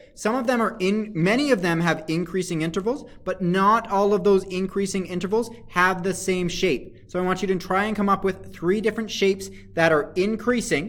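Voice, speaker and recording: Fairly even intonation, with hardly any pauses. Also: man, high pitch for a man. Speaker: math teacher. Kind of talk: lecture. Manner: fast; halting.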